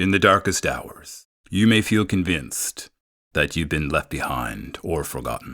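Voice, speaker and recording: A man speaks at a fairly slow pace with vocal fry. His tone is gentle and calm, yet bright and sharp. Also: very clean recording, silent background. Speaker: benzodiazepine withdrawal recovery guide with lived experience. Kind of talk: guided grounding and reassurance talk for withdrawal recovery. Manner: gentle, calm, compassionate.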